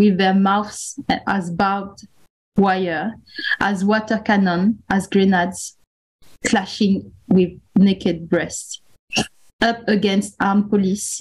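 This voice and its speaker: A woman speaks in a medium pitch, somewhat breathy. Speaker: podcast co-host, artist curator. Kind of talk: casual chat.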